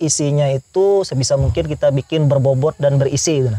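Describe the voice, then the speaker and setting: Dry and close with no echo, a man's fairly high voice moves at a fairly quick pace with ordinary pitch variation. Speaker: youtuber. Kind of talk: interview.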